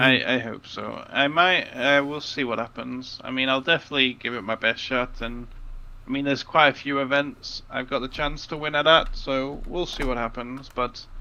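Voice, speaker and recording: A man talks at a moderate pace with a medium pitch. His tone is bright and sharp, and his intonation fairly even. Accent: English. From England. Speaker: card game commentator. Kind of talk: live commentary. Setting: livestream.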